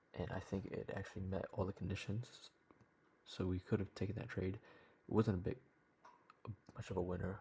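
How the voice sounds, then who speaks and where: A man is whispering. His voice is somewhat breathy. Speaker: trading vlogger. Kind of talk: video diary. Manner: casual.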